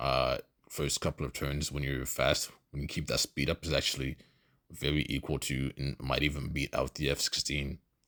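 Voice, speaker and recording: A man with a non-native accent at a moderate pace, the sound dry and close with no echo. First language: not English. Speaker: gamer. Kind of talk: gameplay voice-over commentary. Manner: hesitant, many fillers.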